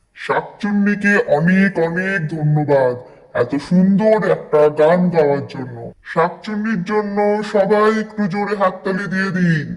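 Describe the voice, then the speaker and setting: Using a cartoonish character voice, a man speaks at a fairly slow pace with a high pitch. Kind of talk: stage emcee announcing. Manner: polite, formal, upbeat.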